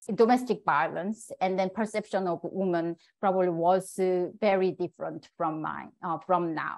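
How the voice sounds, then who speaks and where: A woman speaks with a Korean accent. The background is quiet. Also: medium pitch for a woman, fairly even intonation, moderate pace. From South Korea. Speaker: puppetry scholar, assistant professor. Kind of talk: lecture talk.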